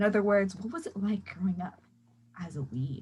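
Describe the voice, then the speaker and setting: Somewhat breathy, a woman with an American accent talks at a fairly quick pace with very wide pitch swings. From California. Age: young. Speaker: podcast host. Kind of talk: casual chat.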